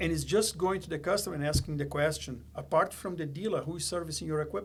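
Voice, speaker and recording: Talking at a very fast pace with a non-native accent, a man has a fairly high pitch, vocal fry and ordinary pitch variation. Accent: foreign. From Brazil. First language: Portuguese. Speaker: company executive. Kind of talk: podcast interview.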